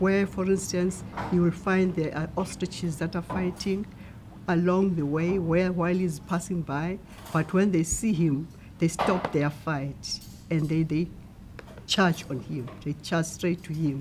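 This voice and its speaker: A woman with a fairly low voice and a South African accent speaks at a fairly slow pace with fairly even intonation, over noticeable background noise. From South Africa, Eastern Cape (Stutterheim). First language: Xhosa. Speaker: translator. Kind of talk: interview.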